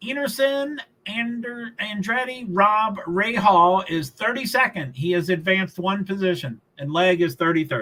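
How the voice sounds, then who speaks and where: This man has a high pitch and a raised, projected voice with lively intonation. He speaks at a fairly slow pace with hardly any pauses. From Kentucky, Louisville. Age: 60s. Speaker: livestreamer. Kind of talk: live race commentary. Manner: casual, rambling.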